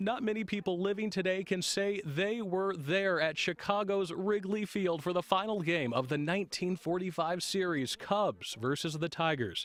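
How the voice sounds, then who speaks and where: A high-pitched man at a moderate pace, with very even loudness and hardly any pauses. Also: ordinary pitch variation. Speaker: TV news reporter. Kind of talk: TV news report narration.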